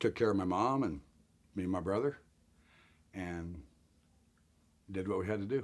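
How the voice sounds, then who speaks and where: With an American accent, a man talks at a moderate pace in a fairly low pitch, leaving long, frequent pauses, on a very clean recording with a silent background. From Colorado (Denver area). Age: 60s. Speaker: interviewee sharing life story of homelessness. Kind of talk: interview testimony.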